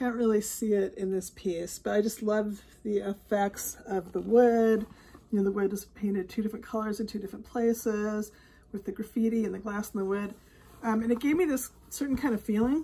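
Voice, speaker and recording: Somewhat breathy, a woman speaks at a moderate pace in a dark, mellow tone with fairly even intonation. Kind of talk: casual vlog chat. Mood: warm, reflective. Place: home room. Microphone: phone near.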